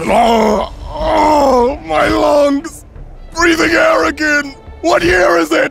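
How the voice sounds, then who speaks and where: Using a put-on character voice with an extremely high pitch, a man talks at a very slow pace with long, frequent pauses while clear music plays in the background. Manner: disoriented, astonished.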